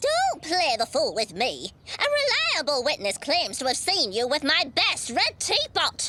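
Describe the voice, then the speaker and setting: A female-sounding cartoonish character voice speaks at a moderate pace and a high pitch for a woman. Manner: brisk, bossy.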